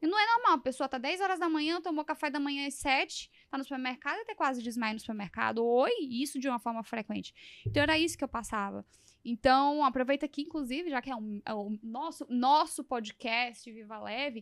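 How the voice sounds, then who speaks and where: A woman talks at a fairly quick pace in a high pitch with lively intonation, in a dry, close sound with no echo and a very clean recording with a silent background. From Brazil, São Luís do Maranhão. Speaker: podcast host. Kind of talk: interview conversation.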